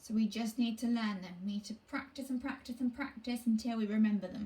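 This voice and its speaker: A woman talks at a fairly high pitch, keeping her intonation fairly even, amid noticeable background noise. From southern England, South Coast. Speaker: primary school teacher. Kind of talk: online phonics lesson for children. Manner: clear, encouraging teacher voice.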